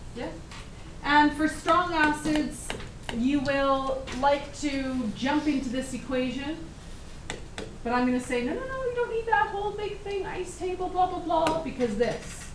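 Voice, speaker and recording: A woman's high-pitched voice with lively intonation, fairly slow and broken by long, frequent pauses, amid noticeable background noise and audible room echo. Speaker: chemistry teacher. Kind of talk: classroom lecture. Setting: classroom with students.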